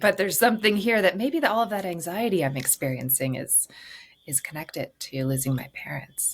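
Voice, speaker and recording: Her pitch is fairly low and swings very widely. The woman talks at a fairly quick pace. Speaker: grief therapist and author. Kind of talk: podcast interview answer.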